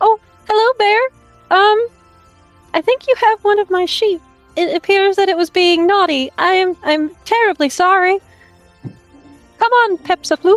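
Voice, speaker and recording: A woman does a put-on character voice, squeaky and extremely high, with a gentle tone at a moderate pace. Long, frequent pauses break it up while faint music plays in the background. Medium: actual play. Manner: sweet, polite, gentle.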